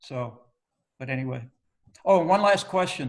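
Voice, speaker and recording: A man speaks at a moderate pace. His voice is fairly high-pitched and somewhat breathy. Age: 60s. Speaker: teacher and retired engineer. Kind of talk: online meeting discussion. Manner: halting.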